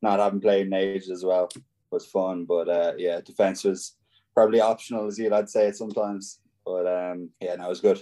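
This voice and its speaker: Fairly quick in pace, a man speaks with a fairly low pitch and a dark, mellow tone. His intonation is monotone and flat. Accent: Irish. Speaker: professional rugby player. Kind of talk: casual interview. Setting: video call.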